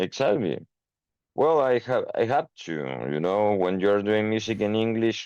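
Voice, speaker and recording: A man with a Spanish accent, fairly low in pitch, with ordinary pitch variation, a moderate pace and a quiet background. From Chile. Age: 30s. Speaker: metal band singer. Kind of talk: interview. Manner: halting, many fillers.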